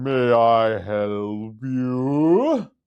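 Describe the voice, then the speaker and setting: A man puts on a character voice. His pitch sits at a medium level. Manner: condescending, haughty, passive aggressive.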